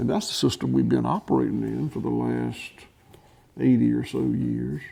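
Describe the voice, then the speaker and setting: A man with a Southern US accent speaks at a moderate pace in a very deep, low voice with monotone, flat intonation. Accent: Southern US (Georgia). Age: 60s. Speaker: farmer. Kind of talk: interview. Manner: halting, many fillers and restarts.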